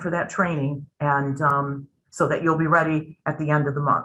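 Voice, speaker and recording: A woman speaks at a very deep, low pitch with a bright, sharp tone. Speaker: company presenter at a member town hall. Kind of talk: webinar presentation with Q&A. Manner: fast.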